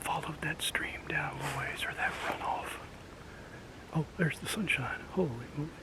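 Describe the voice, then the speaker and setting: Whispering in an American accent, a man keeps a relaxed tone amid audible room echo and noticeable background noise. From rural US. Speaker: outdoors vlogger. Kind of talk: casual outdoor vlog talk. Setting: outdoors in woods. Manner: relaxed, halting with fillers.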